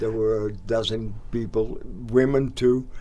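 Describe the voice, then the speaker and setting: With audible room echo, a man speaks at a fairly slow pace in a medium pitch, his intonation monotone and flat and his tone dark and mellow. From Netherlands. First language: Dutch. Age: 80s+. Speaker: local sports organizer. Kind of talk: casual interview. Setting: studio.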